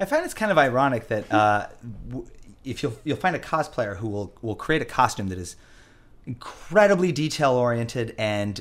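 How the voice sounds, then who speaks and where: With lively intonation and a fairly quick pace, a man talks in a plain, everyday voice. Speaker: podcast host and musician. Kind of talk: casual chat. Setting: studio.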